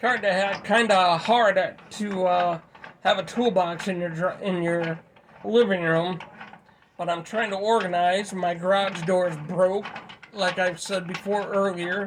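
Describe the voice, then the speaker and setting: A man's high-pitched, flat, monotone delivery at a fairly slow pace against noticeable background noise. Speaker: tool repair video maker. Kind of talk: casual tutorial. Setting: living room.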